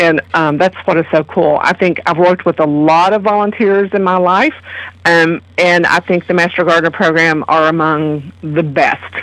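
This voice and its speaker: A woman with a slight Kentucky accent talks at a moderate pace and fairly low pitch. Her loudness stays very even and her intonation fairly even. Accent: slight Kentucky hillbilly twang. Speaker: master gardener program coordinator. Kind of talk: radio interview.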